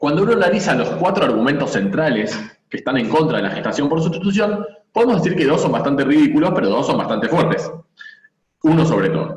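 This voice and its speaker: Over background music, a man talks at a very fast pace with a fairly high pitch and very wide pitch swings, his voice carrying an audible room echo. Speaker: lawyer and family law lecturer. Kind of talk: lecture.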